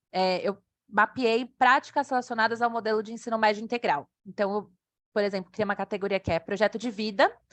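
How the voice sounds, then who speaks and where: The woman talks at a fairly quick pace in a fairly high pitch with ordinary pitch variation, the sound dry and close with no echo over a quiet background. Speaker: evaluator presenting software. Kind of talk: online presentation with chat Q&A. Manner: fast.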